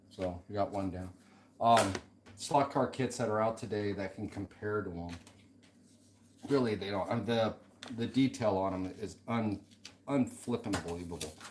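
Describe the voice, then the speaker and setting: Music plays in the background as a man speaks at a moderate pace in a fairly low pitch with ordinary pitch variation. He leaves long, frequent pauses. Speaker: slot car hobbyist streaming a build. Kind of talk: casual live-stream chat while working. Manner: mumbling to himself at times.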